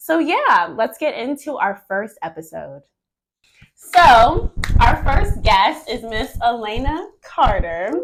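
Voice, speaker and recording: Her voice is high and swings very widely in pitch. The woman talks at a very slow pace. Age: young. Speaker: event producer and vlogger. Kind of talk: casual interview chat. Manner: animated.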